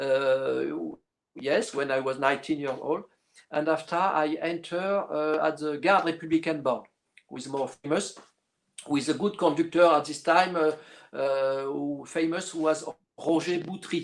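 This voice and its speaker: A man speaks with a French accent at a fairly slow pace. His pitch is fairly high and his intonation fairly even. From northern France, Lille. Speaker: orchestral clarinetist. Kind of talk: interview. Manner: halting, many fillers.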